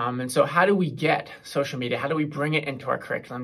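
The background is quiet as a man talks. His pitch varies in an ordinary way. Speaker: presenter. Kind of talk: presentation talk. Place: classroom. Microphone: phone near.

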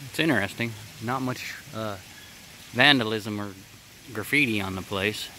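A man's fairly low voice at a moderate pace with fairly even intonation, dry and without echo, over noticeable background noise. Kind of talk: casual vlog commentary. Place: open country. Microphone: phone near.

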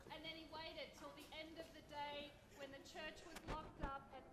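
Over loud background noise, a woman with a high pitch talks at a moderate pace. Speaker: tour guide. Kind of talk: storytelling tour narration. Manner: animated, spooky storyteller pacing with dramatic pauses; conversational, wry and laughing. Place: street. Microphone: camera far.

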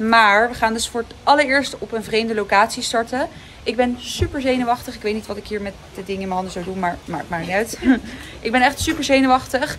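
A woman speaks at a very fast pace. Light background noise can be heard. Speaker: horse rider vlogger. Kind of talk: casual vlog chat. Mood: nervous, excited. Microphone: phone near.

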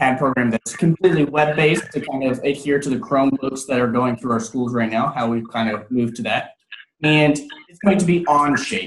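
A somewhat breathy man speaks in a room with audible echo and light background noise. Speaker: 3D printing trainer. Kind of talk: tutorial. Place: office. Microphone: video call.

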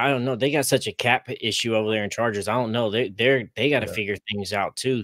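A man with an American accent at a very fast pace, fairly even intonation, a dry sound with no echo and a quiet background. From Oklahoma. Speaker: fan podcaster. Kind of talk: casual sports debate. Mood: skeptical, opinionated. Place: home room.

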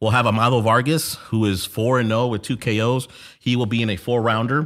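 A man's speech moves at a moderate pace while music plays behind it. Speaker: podcast host. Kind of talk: podcast commentary. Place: home room. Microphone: studio mic.

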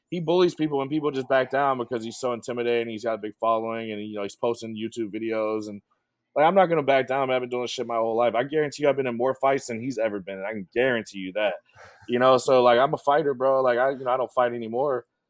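A man with an American accent talks at a very fast pace with ordinary pitch variation. The sound is dry, with no echo, over a quiet background. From US South. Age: 30s. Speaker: professional poker player; podcast guest. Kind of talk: casual chat. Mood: candid, sometimes emotional or defiant. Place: open country. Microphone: video call.

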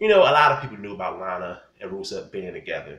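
Audible room echo around a man's voice. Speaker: wrestling commentator vlogger. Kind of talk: angry rant. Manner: loud, indignant, scolding. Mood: annoyed, opinionated. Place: home room. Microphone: phone near.

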